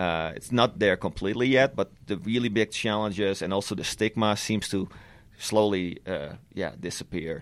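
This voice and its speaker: With a Dutch accent, a man speaks at a fairly low pitch and a moderate pace with ordinary pitch variation, in a very clean recording with a silent background. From Netherlands. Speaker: cannabis lab scientist. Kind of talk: interview.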